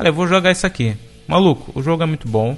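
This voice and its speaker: A man keeps a fairly quick pace while noticeable background noise runs behind him. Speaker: podcast co-host. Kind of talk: casual chat. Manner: calm.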